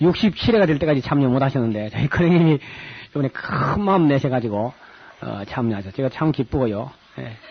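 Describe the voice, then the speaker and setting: At a fairly quick pace, a man with a medium-pitched voice speaks with lively intonation over noticeable background noise. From South Korea, Gyeongsang region. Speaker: pastor and Bible lecturer. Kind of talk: Bible lecture with announcements. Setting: lecture hall with audience, recorded on tape. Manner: casual, hesitant with fillers.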